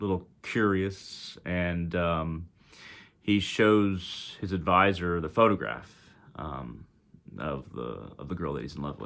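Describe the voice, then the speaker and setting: A man's very deep, low voice with a Texas accent, very slow, with lively intonation and big swings in loudness, on a very clean recording with a silent background. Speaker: spiritual teacher. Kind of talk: storytelling. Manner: halting, many fillers.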